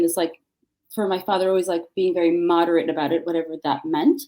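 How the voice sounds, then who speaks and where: A woman speaks with an American accent at a medium pitch. Her tone is dark and mellow, and her pitch swings very widely. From New York City, Queens (Flushing). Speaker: writer and educator. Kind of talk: interview conversation.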